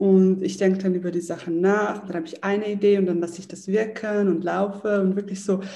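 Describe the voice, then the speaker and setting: A woman speaks here. Her tone is dark and mellow, and somewhat breathy. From Switzerland, Zurich. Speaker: entrepreneur and yoga teacher. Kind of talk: interview.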